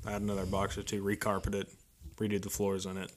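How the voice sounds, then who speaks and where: A man's fairly low voice at a fairly quick pace. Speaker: podcast host. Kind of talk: casual chat.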